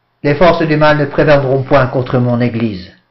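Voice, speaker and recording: Audible room echo surrounds a fairly high-pitched man who talks at a fairly slow pace with fairly even intonation. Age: 60s. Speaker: priest. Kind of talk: lecture.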